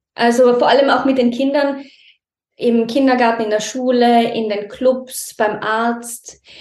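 A woman talks in a high pitch with monotone, flat intonation. The room echo is audible. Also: fairly slow pace. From Austria, Tyrol near Innsbruck. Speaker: mother in a multilingual family. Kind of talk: interview conversation.

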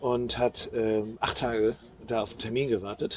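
A man's voice at a medium pitch. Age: 50s. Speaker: podcast co-host. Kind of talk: casual chat. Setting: outdoors.

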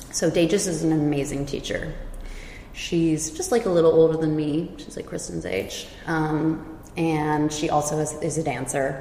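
With a Californian accent and a very deep, low pitch, a woman talks at a fairly slow pace with fairly even intonation, heard through audible room echo and noticeable background noise. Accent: Californian American English. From California, Silicon Valley. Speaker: yoga and dance teacher. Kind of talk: casual chat.

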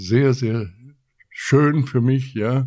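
Man with fairly even intonation. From Chile. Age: 80s+. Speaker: retired company veteran. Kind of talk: interview.

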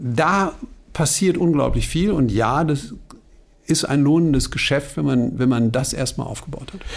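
A man with a fairly high pitch and ordinary pitch variation, fairly slow, with audible room echo. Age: 50s. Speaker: bank sustainability executive, former journalist. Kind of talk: interview conversation.

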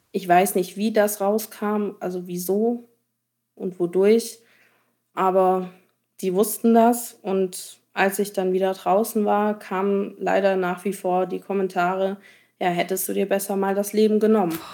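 The voice has a dark, mellow tone and monotone, flat intonation, moving at a fairly slow pace in a very clean recording with a silent background. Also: woman, medium pitch for a woman. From Allgäu, southern Germany. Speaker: cyberbullying survivor. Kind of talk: testimony.

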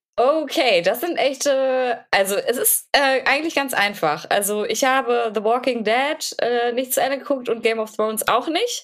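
Pitch shifts in an ordinary way. The speech moves at a moderate pace. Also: woman, high pitch for a woman. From Germany, Paderborn (Westphalia). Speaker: podcast co-host. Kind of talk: casual chat.

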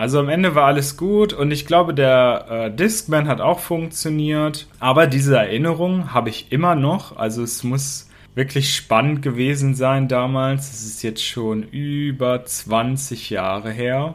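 This man has a plain, everyday voice pitched fairly high. He speaks at a fairly slow pace with ordinary pitch variation. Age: 30s. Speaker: podcast host, German teacher. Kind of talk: storytelling for language learners. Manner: slow, clear.

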